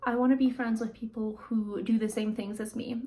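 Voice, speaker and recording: A woman speaks at a fairly quick pace. Her voice is high in pitch. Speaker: lifestyle vlogger. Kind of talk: casual vlog reflection. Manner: quiet, sometimes mutters; conversational, many fillers.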